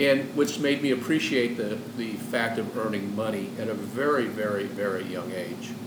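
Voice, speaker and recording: Hardly pausing, a man talks at medium pitch with ordinary pitch variation. Room echo and noticeable background noise can be heard. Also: moderate pace. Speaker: podcast guest. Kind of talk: casual chat.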